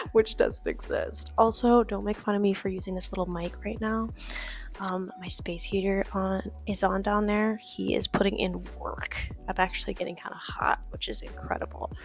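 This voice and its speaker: A woman whispers at a moderate pace. Noticeable background noise runs beneath her. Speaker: artist and vlogger. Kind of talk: casual vlog voiceover. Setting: at home at night. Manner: whispering.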